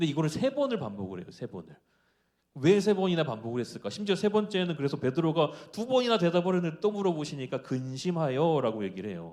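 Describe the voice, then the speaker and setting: Racing along at a very fast pace, a man with a fairly high pitch makes very wide pitch swings. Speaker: preacher. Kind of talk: sermon.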